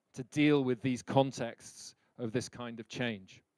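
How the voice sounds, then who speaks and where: Here a man with a British accent talks at a medium pitch and a fairly slow pace, with fairly even intonation. The sound is dry and close, with no echo. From Britain. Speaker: leadership speaker. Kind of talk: lecture.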